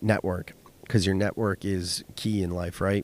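A man speaks in a Californian accent. The sound is dry and close with no echo, in a very clean recording with a silent background. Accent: Californian American. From US West Coast (Silicon Valley, California). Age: 30s. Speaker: podcast host and business owner. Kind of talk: solo podcast monologue.

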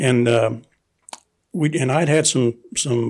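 Vocal fry runs through this voice with an American accent and fairly even intonation. The recording is very clean, with a silent background. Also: man. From US South, Fredericksburg, Virginia. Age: 60s. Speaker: host's father. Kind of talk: casual interview. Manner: halting.

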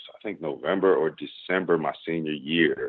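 A man speaks in an American accent. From Chicago, South Side. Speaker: startup co-founder and investor. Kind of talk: interview. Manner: casual.

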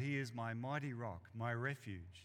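This is a man speaking. His pitch is medium. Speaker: preacher. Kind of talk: sermon. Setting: church. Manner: uses frequent filler words.

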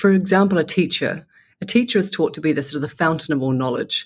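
A woman speaking fairly quickly in a New Zealand accent. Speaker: education entrepreneur. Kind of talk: interview. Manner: halting.

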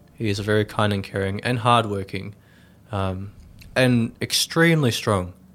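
A fairly low male voice with an Australian accent and ordinary pitch variation. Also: moderate pace. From Melbourne, Australia, then Tasmania. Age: 20s. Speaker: young family carer. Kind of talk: interview. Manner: hesitant, many fillers.

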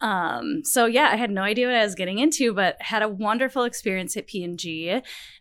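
A woman's unremarkable speaking voice, fairly high-pitched, with an American accent, lively intonation and a fairly quick pace. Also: very clean recording, silent background. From Minnesota. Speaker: category management professional. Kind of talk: interview. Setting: studio.

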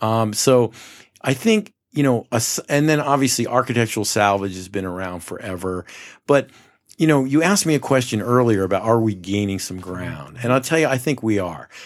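A man with an American accent speaks fairly quickly at a medium pitch in a plain, everyday voice, with lively intonation, on a very clean recording with a silent background. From New York, Mid-Hudson Valley. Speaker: company founder. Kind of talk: podcast interview. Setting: showroom studio.

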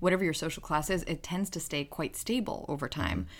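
Vocal fry runs through speech delivered at a very fast pace. The recording is very clean, with a silent background. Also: woman. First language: not English. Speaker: podcast host, psychology researcher. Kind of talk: casual chat.

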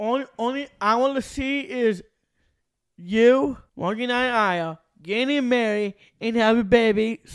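This man speaks with an extremely high pitch and an American accent. His pitch variation is ordinary and his pace very slow. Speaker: podcast co-host, wrestling fan. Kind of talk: casual chat. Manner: halting, repeats words.

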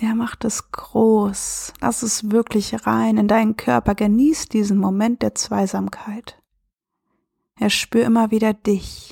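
In a calm, soothing tone, a woman speaks at a very slow pace, recorded dry and close with no echo on a very clean recording with a silent background. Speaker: self-love and relationship coach; podcast host. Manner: slow, calm and soothing with long pauses, gentle and warm; reflective, conversational, with filler words.

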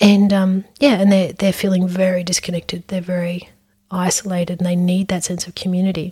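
A woman with an Australian accent speaks fairly quickly at a medium pitch with monotone, flat intonation. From Brisbane, Australia. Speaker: psychologist and podcast host. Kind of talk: casual interview chat.

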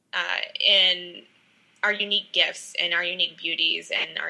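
Noticeable background noise is audible. The talking goes at a moderate pace. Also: woman. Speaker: guest co-host. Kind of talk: casual faith chat. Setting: video call.

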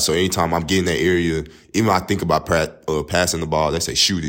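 Fairly quick in pace, a man talks with an East Texas accent in a very deep, low pitch. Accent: East Texas Southern US. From East Texas, Tyler. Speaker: college basketball player. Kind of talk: interview.

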